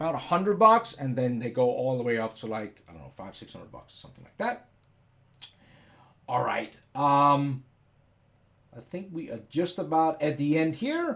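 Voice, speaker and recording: A man with a Danish accent speaks at a moderate pace and a fairly high pitch, his intonation lively and his loudness swinging widely. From Denmark. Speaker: software educator / CAD YouTuber. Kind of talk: live stream tutorial. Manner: casual, hesitant with many fillers.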